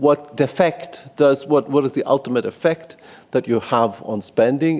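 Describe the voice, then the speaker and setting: At a moderate pace, a man with a Greek accent speaks in a fairly high pitch with a dark, mellow tone. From Greece. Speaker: policy researcher. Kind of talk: conference presentation. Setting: conference room in parliament. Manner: halting.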